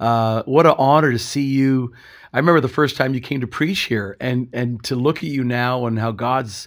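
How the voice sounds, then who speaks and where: A man with a medium-pitched voice speaks at a moderate pace with ordinary pitch variation in an unremarkable speaking voice. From Canada. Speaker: pastor. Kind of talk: interview testimony.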